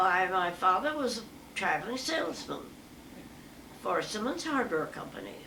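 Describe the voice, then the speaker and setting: A woman with an American accent at a moderate pace, very wide pitch swings, long and frequent pauses, noticeable background noise. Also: medium pitch for a woman. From New Mexico, USA. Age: 80s+. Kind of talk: interview answer.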